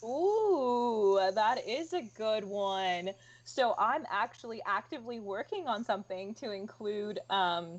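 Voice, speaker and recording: Against a quiet background, a woman talks very slowly with a fairly high pitch. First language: Spanish. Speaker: museum collections staff. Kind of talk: livestream museum tour Q&A. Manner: casual, many fillers and restarts.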